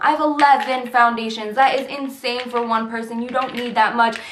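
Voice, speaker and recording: A woman's high-pitched voice amid noticeable background noise and audible room echo. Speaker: beauty vlogger. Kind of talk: product review vlog. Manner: fast; filler-heavy, says um often.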